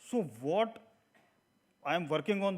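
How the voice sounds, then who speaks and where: A man's voice with ordinary pitch variation. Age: 30s. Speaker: textile entrepreneur, speaker. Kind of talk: public talk.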